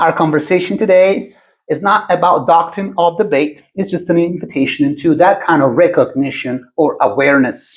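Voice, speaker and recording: Moderate pace and lively intonation in an Italian accent. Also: man, high pitch for a man. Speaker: podcast host. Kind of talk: scripted introduction. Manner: calm.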